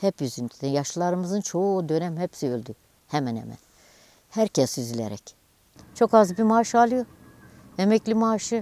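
At a moderate pace, a woman speaks with a fairly low pitch and a dark, mellow tone, the sound dry with no echo. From Turkey, Dersim (Ovacık). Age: 60s. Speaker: livestock farmer. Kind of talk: news interview testimony. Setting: outdoors / barn on the farm. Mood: somber, complaining of hardship. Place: street. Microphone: lapel.

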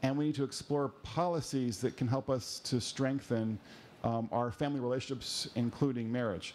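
There is light background noise as a man talks at a fairly quick pace. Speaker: panel moderator. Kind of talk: moderator introduction. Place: hall.

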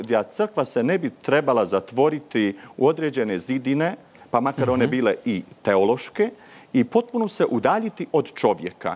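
Pitch swings very widely. The pace is moderate. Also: man. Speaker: parish priest. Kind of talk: TV panel discussion. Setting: remote studio link. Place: studio. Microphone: lapel.

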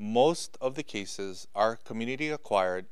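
A man speaks with ordinary pitch variation against a quiet background. The sound is dry with no echo. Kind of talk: official public briefing. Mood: serious, concerned. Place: office. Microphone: podium.

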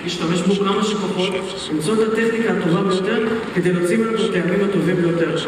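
Strong room echo and noticeable background noise fill the recording. A man talks at a fairly quick pace with fairly even intonation. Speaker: presenter. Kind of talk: cooking demo presentation. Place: stage.

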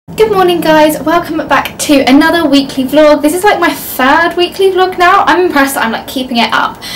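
A woman with an English accent and an extremely high pitch speaks at a fairly quick pace with ordinary pitch variation, over light background noise. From Leicester, England. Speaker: university student vlogger. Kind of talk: casual talk to camera. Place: home room. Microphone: phone near.

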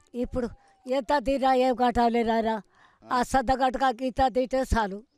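Her voice is high, and the sound is dry with no echo. This woman keeps a monotone, flat intonation and very even loudness. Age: 80s+. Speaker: centenarian farmer; interviewee. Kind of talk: interview; interview answer. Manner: halting. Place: open country.

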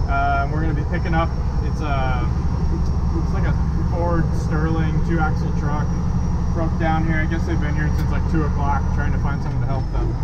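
This man keeps a moderate pace despite loud background noise. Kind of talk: casual vlog chat. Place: car. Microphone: phone near.

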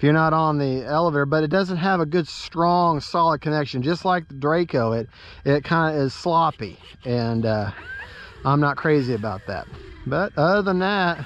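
A man speaks at a moderate pace with ordinary pitch variation. Light background noise is present, and the sound is dry with no echo. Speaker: RC hobbyist vlogger. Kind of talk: casual vlog chat. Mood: relaxed, friendly. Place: open country. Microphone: phone near.

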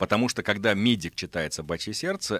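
A man speaks in a fairly low voice with a bright, sharp tone. His pitch swings very widely. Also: dry sound with no echo. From Russia, Astrakhan, moved often as military child; Russia. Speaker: physician and science journalist; science journalist. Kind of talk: radio interview. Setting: radio studio. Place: studio. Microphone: studio mic.

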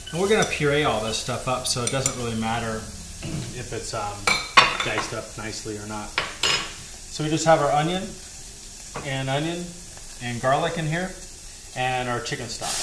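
A man's voice at a moderate pace with ordinary pitch variation, long and frequent pauses, and loud background noise. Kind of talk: tutorial. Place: kitchen.

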